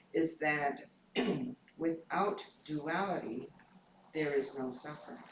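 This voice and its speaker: The speech is very slow, with long, frequent pauses and ordinary pitch variation. Room echo is audible. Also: man, fairly high pitch for a man. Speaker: Buddhist minister giving dharma talk. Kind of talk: dharma talk.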